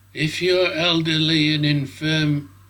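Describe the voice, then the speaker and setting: A man speaks with a British accent in a fairly high pitch. His tone is bright and sharp, with ordinary pitch variation. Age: 70s. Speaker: drone hobbyist video maker. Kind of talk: casual vlog talk to camera.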